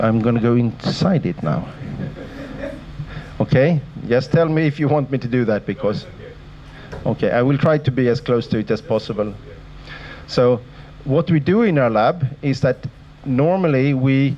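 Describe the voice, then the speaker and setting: Very even loudness and ordinary pitch variation, with long, frequent pauses over noticeable background noise. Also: man, medium pitch for a man. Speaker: sleep researcher, professor. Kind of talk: lecture. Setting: lecture hall with audience. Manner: fast.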